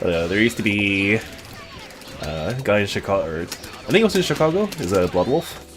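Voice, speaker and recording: Over noticeable background noise, a man with a Canadian accent speaks at a moderate pace in a fairly low pitch. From Canada. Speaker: fighting game streamer. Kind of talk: live stream commentary while playing.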